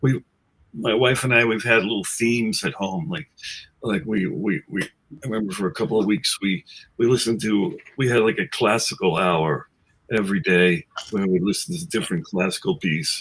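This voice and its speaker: Using lively intonation, a man with an American accent and an unremarkable speaking voice talks at a moderate pace and medium pitch. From New York City, Queens. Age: 60s. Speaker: musician, guitarist in a tribute band. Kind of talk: casual chat. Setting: webcast.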